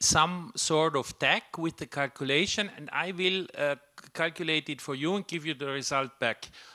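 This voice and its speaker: Speaking with a non-native accent, a man uses a fairly high pitch with ordinary variation at a moderate pace. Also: very clean recording, silent background. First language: not English. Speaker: software developer and speaker. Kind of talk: tech talk discussion. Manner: halting, many fillers.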